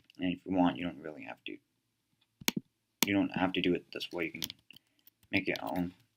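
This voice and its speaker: A man's very deep, low voice with vocal fry, a fairly quick pace, long, frequent pauses, and big swings in loudness. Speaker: tutorial creator. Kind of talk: tutorial. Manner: hesitant, many fillers.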